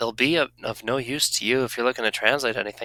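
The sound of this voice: The clip has an unforced reading voice with fairly even intonation.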